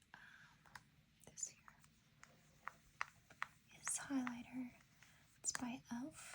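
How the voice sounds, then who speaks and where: Speaking very slowly, the voice is soft-spoken. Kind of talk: ASMR show and tell.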